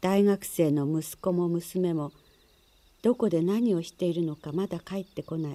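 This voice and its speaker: A soft-spoken woman with a fairly low pitch and a dark, mellow tone talks in a calm tone at a fairly slow pace, her pitch varying in an ordinary way. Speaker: narrator. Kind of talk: reading aloud a literary short story, audiobook-style narration. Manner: calm, measured and even-paced, with a soft narrative tone. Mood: calm, measured. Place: studio. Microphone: studio mic.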